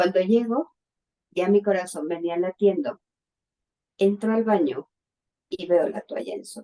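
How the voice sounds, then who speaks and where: A woman with a dark, mellow tone speaks fairly slowly, her loudness swinging widely, with long, frequent pauses and a dry, close sound with no echo. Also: medium pitch for a woman, ordinary pitch variation. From Mexico City. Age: 60s. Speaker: bereaved mother. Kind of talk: testimony.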